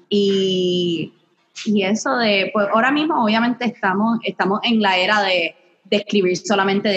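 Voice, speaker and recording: Speaking with a Puerto Rican accent, a woman uses a medium pitch with ordinary pitch variation. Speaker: podcast co-host, music industry worker. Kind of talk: casual chat. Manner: frequent English code-switching.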